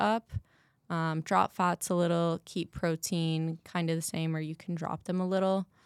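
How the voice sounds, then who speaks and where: A woman with an American accent, fairly low pitch, fairly even intonation, dry, close sound with no echo, very clean recording and silent background. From Massachusetts. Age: 20s. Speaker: bikini bodybuilder and new personal trainer. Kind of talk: casual interview.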